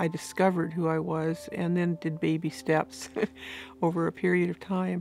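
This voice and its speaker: Flat, monotone female speech at a fairly low pitch and a moderate pace, with music in the background. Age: 60s. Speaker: recovered alcoholic sharing her story. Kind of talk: testimony.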